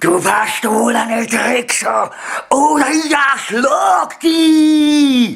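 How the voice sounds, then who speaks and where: A man uses a cartoonish character voice at an extremely high pitch, talking at a very slow pace. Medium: puppet. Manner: mumbled, lisping, agitated.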